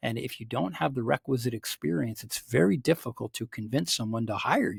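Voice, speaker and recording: A man speaks in a somewhat breathy voice. The recording is very clean, with a silent background and a dry, close sound with no echo. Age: 60s. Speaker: executive coach and professor. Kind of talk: interview.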